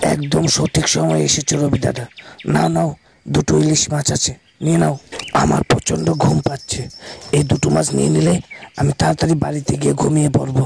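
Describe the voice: A man puts on a cartoonish character voice that is raspy and medium in pitch. He talks at a moderate pace.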